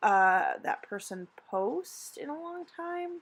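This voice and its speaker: In a very clean recording with a silent background, a woman talks at a fairly high pitch with a bright, sharp tone. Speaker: vlogger. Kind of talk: tutorial. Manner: slow; hesitant with many fillers.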